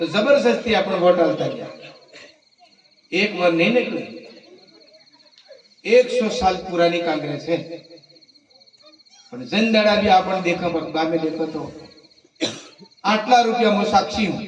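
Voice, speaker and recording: A man talks with lively intonation, broken by long, frequent pauses. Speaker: member of parliament. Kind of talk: political speech at village night meeting. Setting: outdoors.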